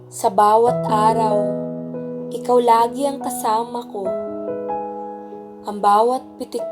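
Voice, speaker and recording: Music plays in the background as a woman speaks at a very slow pace. Her voice is fairly high in pitch with lively intonation. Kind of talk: spoken word poetry.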